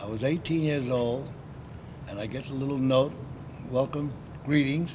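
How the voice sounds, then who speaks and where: A man speaks at medium pitch and a moderate pace, with fairly even intonation. Audible room echo surrounds his voice. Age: 90s. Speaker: war veteran. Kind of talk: interview. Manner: halting.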